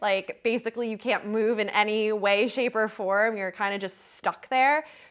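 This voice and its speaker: Animated in tone, a woman speaks at a fairly high pitch. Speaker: podcast host. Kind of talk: casual chat. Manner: fast.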